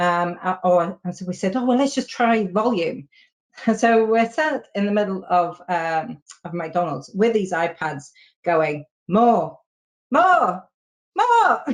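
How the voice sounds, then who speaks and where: This woman talks very slowly, leaving long, frequent pauses, with a medium pitch and lively intonation. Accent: British. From Britain. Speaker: software testing consultant. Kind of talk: casual chat. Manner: halting, many fillers.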